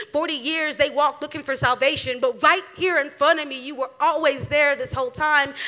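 With a high pitch and a bright, sharp tone, a woman uses a raised, projected voice and fairly even intonation. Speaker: spoken word poet. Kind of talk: spoken word performance. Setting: stage with audience.

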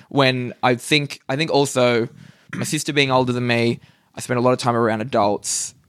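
A man with an Australian accent talks at a moderate pace. His pitch is medium and his intonation fairly even. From Australia, Newcastle NSW. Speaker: stand-up comedian. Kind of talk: casual chat. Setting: hotel room.

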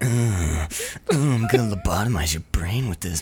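A man's put-on character voice, fairly low in pitch and fairly slow in pace. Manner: menacing, jokey.

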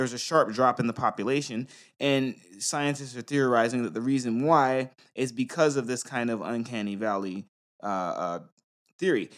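In a plain, everyday voice, a man with an American accent speaks at medium pitch and a moderate pace on a very clean recording with a silent background. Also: ordinary pitch variation. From US. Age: 30s. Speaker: podcast co-host. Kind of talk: casual chat. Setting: studio.

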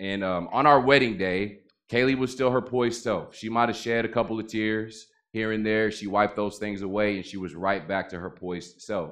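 This man has an unremarkable speaking voice, keeping his intonation fairly even at a moderate pace. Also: fairly low pitch for a man. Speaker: guest preacher. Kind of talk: sermon. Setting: church. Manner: informal, warm, filler words.

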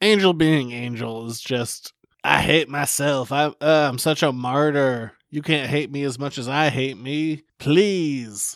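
A man's fairly high voice at a fairly slow pace, with hardly any pauses, ordinary pitch variation, and a very clean recording against a silent background. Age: 30s. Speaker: podcast co-host. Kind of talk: casual chat. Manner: animated.

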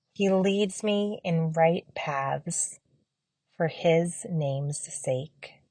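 A woman's somewhat breathy, fairly low voice, dark and mellow in tone, calm and soothing, at a very slow pace with ordinary pitch variation. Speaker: audio guide creator. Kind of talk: blessing prayer, gently read psalm and benediction for a semester-end wrap-up. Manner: slow, calm, soothing, reverent and warm with unhurried pauses; earnest, gracious, and appreciative when asking for feedback.

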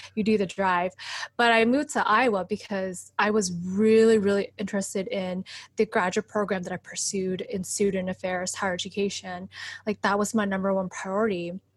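An American accent in monotone, flat intonation, at a fairly quick pace, in a very clean recording with a silent background. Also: woman, medium pitch for a woman. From US Midwest, Wisconsin. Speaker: educator and community organizer. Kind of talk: casual interview.

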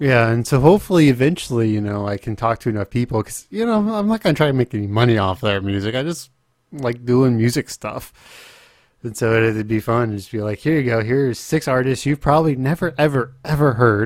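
A man speaks at a fairly quick pace in a medium pitch. He has an ordinary speaking voice with ordinary pitch variation. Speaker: podcast host; streamer. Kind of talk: casual.

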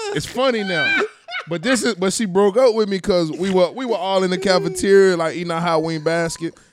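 Over noticeable background noise, a man talks at a fairly quick pace. He has a high pitch and an American accent. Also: ordinary pitch variation. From Houston, Texas. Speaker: basketball coach. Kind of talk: casual chat.

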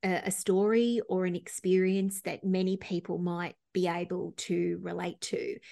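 Over a quiet background, a woman speaks fairly slowly in an unremarkable speaking voice. Her pitch is medium and her intonation fairly even. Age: 50s. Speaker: psychotherapist and life coach. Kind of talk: interview.

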